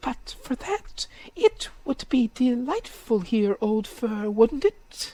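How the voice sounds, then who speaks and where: A put-on character voice, fairly high in pitch, at a very slow pace. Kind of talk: bedtime story. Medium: read story. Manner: eager, inquisitive.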